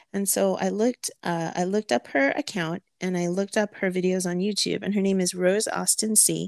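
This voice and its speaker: In a very clean recording with a silent background and a dry, close sound with no echo, a woman speaks in an ordinary speaking voice at medium pitch and a fairly quick pace, with fairly even intonation and hardly any pauses. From California, Filipino-American. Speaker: podcast co-host, romance author and home baker. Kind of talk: casual chat.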